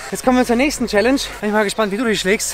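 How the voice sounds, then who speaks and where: A man's raised, projected voice with ordinary pitch variation, dry with no echo, over clear background music. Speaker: fitness vlogger. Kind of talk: casual vlog chat. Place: stadium. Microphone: phone near.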